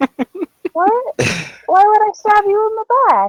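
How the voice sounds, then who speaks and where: Putting on a character voice, a woman speaks at a moderate pace in a squeaky, extremely high pitch, with a dry, close sound and no echo. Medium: actual play.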